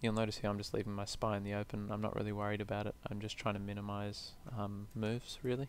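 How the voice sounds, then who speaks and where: Flat and monotone, a man with fairly low pitch rushes along at a very fast pace with hardly any pauses. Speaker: gaming video creator. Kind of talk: gameplay commentary.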